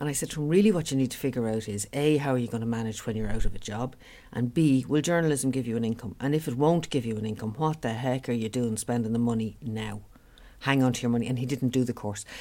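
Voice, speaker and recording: Very deep and low for a woman, her dark, mellow voice has a Dublin accent and ordinary pitch variation as she speaks at a very fast pace. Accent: Dublin Irish. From Dublin, Ireland. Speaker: business owner. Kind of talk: interview.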